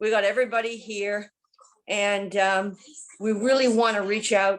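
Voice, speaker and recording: In a monotone, flat intonation, a woman of medium pitch talks at a fairly slow pace. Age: 70s. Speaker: kidney transplant recipient. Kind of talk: testimony.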